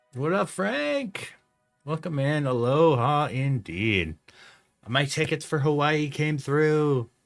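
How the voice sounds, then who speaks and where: Music in the background beneath a man's fairly high pitch, ordinary pitch variation and very slow pace. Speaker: photographer and live streamer. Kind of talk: casual live stream chat. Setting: live stream.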